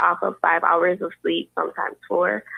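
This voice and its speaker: At a moderate pace, a woman speaks with a Caribbean accent. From US Virgin Islands. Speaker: university student, scholarship recipient. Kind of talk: interview.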